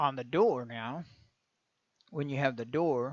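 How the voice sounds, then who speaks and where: Against a quiet background, a man with a Texan accent speaks at medium pitch. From Texas. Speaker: game engine tutorial maker. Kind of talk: tutorial. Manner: casual, conversational.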